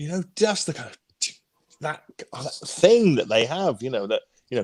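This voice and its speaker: In a normal speaking voice, a man talks at a fairly quick pace with lively intonation, and the sound is dry and close with no echo. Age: 60s. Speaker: guitarist. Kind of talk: casual chat.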